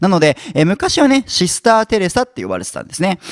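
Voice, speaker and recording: A man with a high pitch talks at a very fast pace. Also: quiet background, dry sound with no echo. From Japan. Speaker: YouTuber explaining history topics. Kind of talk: educational lecture-style monologue. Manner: frequent fillers and sentence-final ね. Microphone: handheld.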